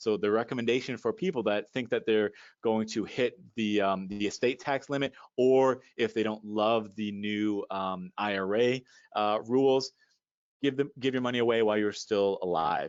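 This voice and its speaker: A man talks in a medium-pitched voice, his pitch moving in an ordinary way. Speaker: financial advisor. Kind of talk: presentation. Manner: fast.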